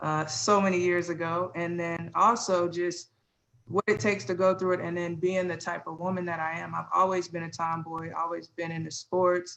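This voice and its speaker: A woman with an American accent talks in an unremarkable speaking voice at a fairly low pitch. Her pace is moderate and her intonation fairly even. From US Midwest, Illinois. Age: 40s. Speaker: interview guest, mother. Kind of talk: candid conversation.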